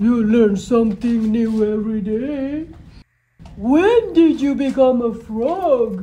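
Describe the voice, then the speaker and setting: In a put-on character voice, the speaker talks at a fairly high pitch and a fairly slow pace. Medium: read story. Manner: amazed, then anxious.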